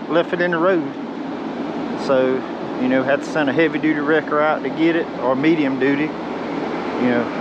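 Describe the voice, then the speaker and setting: Heard at a moderate pace, the speech has a dry sound with no echo amid loud background noise. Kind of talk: casual vlog commentary. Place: open country. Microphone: phone near.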